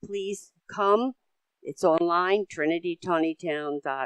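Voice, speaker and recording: A woman speaks with a fairly low pitch and ordinary pitch variation. The sound is dry and close, with no echo. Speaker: local volunteer. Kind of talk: community announcement. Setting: business breakfast meeting.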